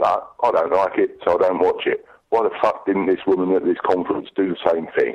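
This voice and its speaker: An English accent at a moderate pace. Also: man. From England. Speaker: listener caller. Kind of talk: voicemail message. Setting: phone call.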